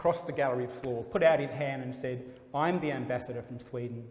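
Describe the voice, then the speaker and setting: Medium in pitch, a man's voice shows ordinary pitch variation. Audible room echo surrounds it. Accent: Australian. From Australia (Melbourne). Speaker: gallery dealer. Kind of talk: interview.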